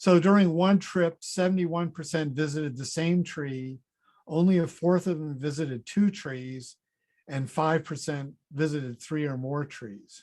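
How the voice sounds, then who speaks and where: A man with a plain, everyday voice talks at a fairly slow pace, his pitch fairly high with ordinary variation. The recording is very clean, with a silent background. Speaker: fruit researcher, professor. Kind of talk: conference presentation.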